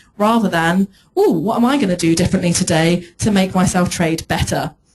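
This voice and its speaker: A woman talks at a fairly quick pace. Her voice is somewhat breathy, at a medium pitch. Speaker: trading psychology coach. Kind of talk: conference talk. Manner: fast.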